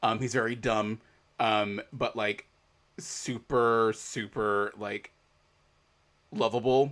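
On a very clean recording with a silent background, a man at medium pitch speaks in a flat monotone, with long, frequent pauses. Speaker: podcast host. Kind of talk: casual chat. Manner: chatty, laughs often.

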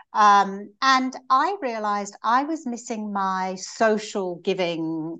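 An ordinary speaking voice with ordinary pitch variation comes through over a quiet background. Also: woman. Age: 60s. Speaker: business executive and marathon runner. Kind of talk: interview.

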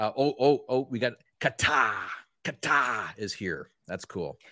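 The man's tone is bright and sharp, with a medium pitch and a Canadian accent. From Canada. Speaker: podcast host. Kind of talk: casual banter, comedy chat. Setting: video call.

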